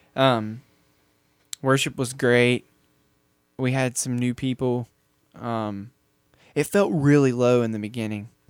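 Pausing long and often, a man talks at a fairly slow pace with medium pitch and fairly even intonation. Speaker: podcast host. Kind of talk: casual chat.

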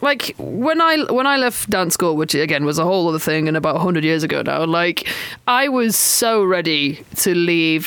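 There is noticeable background noise, and the speech runs on with hardly any pauses. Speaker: podcast host. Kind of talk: casual interview chat.

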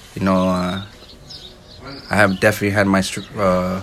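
A man with a fairly low voice speaks fairly quickly while noticeable background noise plays. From Santa Barbara, California (Mexican-American). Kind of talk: casual chat. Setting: at his home, outdoors on an overcast day.

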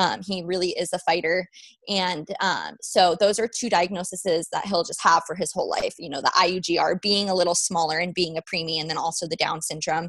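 With an American accent, a woman talks at a fairly quick pace in a fairly low pitch and fairly even intonation. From Nevada, US. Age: 20s. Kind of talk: interview. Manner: hesitant, many fillers.

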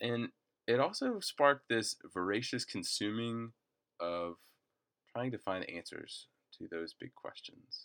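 This man talks at a fairly slow pace with long, frequent pauses and a medium pitch. The sound is dry and close, with no echo. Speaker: campus minister and preacher. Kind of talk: recorded sermon recap. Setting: re-recorded alone, not in service. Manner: frequent filler words.

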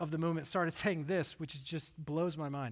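A man with a slight Southern US accent speaks at a fairly quick pace on a very clean recording with a silent background. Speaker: pastor. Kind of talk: sermon. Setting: church.

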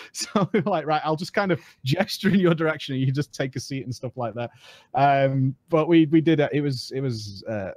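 A man with a British accent, fairly high pitch and lively intonation at a fairly quick pace, dry and close with no echo, against a quiet background. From UK. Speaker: gaming content creator. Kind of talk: casual chat.

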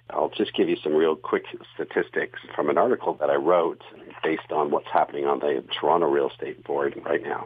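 Noticeable noise fills the background. Over it, a man talks fairly quickly. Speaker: podcast host and real estate coach. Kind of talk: casual interview chat.

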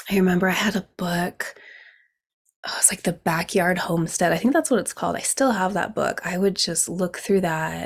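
On a very clean recording with a silent background, a woman with an American accent uses a normal speaking voice at a moderate pace with ordinary pitch variation. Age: 40s. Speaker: podcast host, herbalist. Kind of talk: solo podcast monologue.

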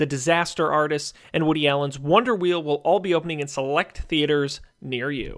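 This man has a plain, everyday voice, fairly high in pitch with ordinary variation, moving at a fairly quick pace. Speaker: radio host. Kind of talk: radio dj patter. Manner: brisk, upbeat rundown of box office numbers.

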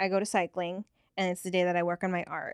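Speaking at a fairly quick pace, a woman has a medium pitch and an unremarkable speaking voice. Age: 30s. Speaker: podcast co-host. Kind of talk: casual interview. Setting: studio.

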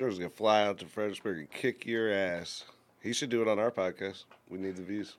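At a very fast pace, a man speaks with a fairly low pitch and fairly even intonation. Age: 30s. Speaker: co-host.

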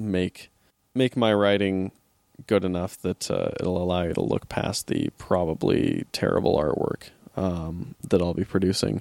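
In a dry, close sound with no echo, a man with a very deep, low pitch talks at a fairly slow pace with fairly even intonation. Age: 20s. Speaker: podcast host. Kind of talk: casual solo podcast talk about comics. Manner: many filler words (uh, um).

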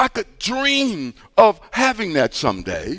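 This man speaks with an American accent. The sound is dry and close, with no echo. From US Midwest, East St. Louis, Illinois. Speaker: pastor. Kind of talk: sermon.

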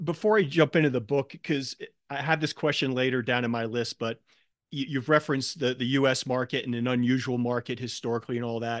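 At a fairly quick pace, a man speaks in a normal speaking voice with a medium pitch and ordinary pitch variation. The sound is dry and close, with no echo and a quiet background. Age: 50s. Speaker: podcast host. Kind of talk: interview.

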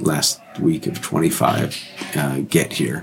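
Music runs behind this clip. The man speaking has an American accent. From California. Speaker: mission trip volunteer. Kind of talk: casual interview. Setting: makeshift podcast booth in a hotel.

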